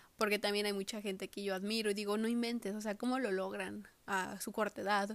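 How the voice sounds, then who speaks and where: Speaking at a moderate pace, a woman holds a medium pitch with monotone, flat intonation. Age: 20s. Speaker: podcaster. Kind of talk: personal monologue. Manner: halting.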